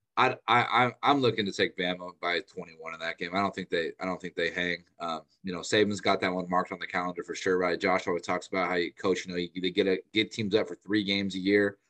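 A man with a plain, everyday voice talks at a fairly quick pace with fairly even intonation. The sound is dry and close, with no echo. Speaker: sports analyst. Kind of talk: casual sports analysis chat. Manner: casual, filler-heavy, conversational.

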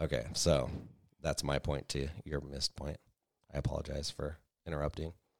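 With a very deep, low pitch and vocal fry, a man talks in a monotone, flat way at a moderate pace, leaving long, frequent pauses, the sound dry and close with no echo. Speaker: podcast co-host. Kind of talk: casual chat. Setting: home studio, recorded for livestream.

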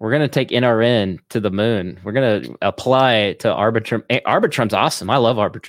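With an Oklahoman accent, a man talks at medium pitch and a fairly quick pace, with ordinary pitch variation and hardly any pauses. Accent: Oklahoman, slight Southern. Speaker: podcast co-host. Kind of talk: casual chat.

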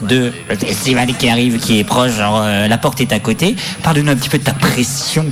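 Over music in the background, a man with a medium pitch speaks at a fairly quick pace, his loudness very even and his pitch variation ordinary. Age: 20s. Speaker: radio host. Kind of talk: live radio show patter, banter with co-hosts. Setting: live studio at a festival.

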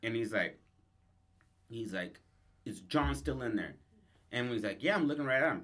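Using a medium pitch with vocal fry, a man talks at a moderate pace, his pitch swinging very widely between long, frequent pauses. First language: English, some Spanish only. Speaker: podcast co-host. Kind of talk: casual improvised storytelling chat.

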